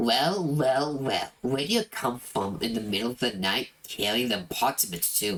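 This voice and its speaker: Put on as a character voice, the delivery has lively intonation at a moderate pace with hardly any pauses. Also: man, medium pitch for a man. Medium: game stream. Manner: mocking, accusing.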